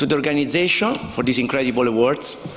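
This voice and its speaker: A man with an Italian accent, against noticeable background noise. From southern Italy, Basilicata. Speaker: company co-founder receiving award. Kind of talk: award acceptance speech.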